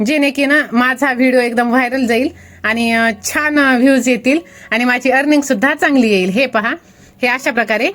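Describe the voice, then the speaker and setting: A woman with a high pitch keeps her loudness very even against noticeable background noise. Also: ordinary pitch variation. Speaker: YouTuber making faceless videos. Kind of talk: tutorial.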